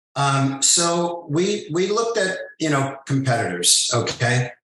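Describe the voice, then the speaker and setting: This man speaks with audible room echo in the recording. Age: 70s. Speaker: spirits brand ambassador and awards co-founder. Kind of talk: podcast interview. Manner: casual, filler-heavy.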